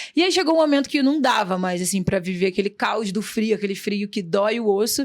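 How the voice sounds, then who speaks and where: A woman with a Rio de Janeiro accent talks fairly quickly at a medium pitch. Her intonation is lively. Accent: carioca. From Rio de Janeiro, Brazil. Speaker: entrepreneur. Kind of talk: podcast interview. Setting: studio.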